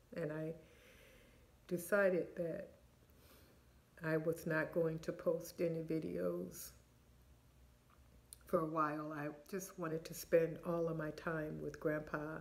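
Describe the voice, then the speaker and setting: A woman speaks in a fairly low, flat monotone with vocal fry. Her pace is fairly slow, broken by long, frequent pauses. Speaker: vlogger. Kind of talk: casual vlog chat. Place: home room. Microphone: phone near.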